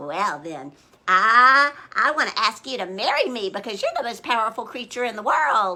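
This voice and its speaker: A female-sounding voice performs a put-on character voice at a fairly high pitch for a woman. It is raised and projected, at a moderate pace. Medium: read story.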